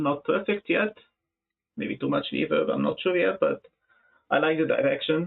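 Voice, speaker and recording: With an Arabic accent, a man speaks with long, frequent pauses. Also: moderate pace. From Egypt. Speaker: music producer. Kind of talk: live stream chat. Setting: live stream. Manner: halting.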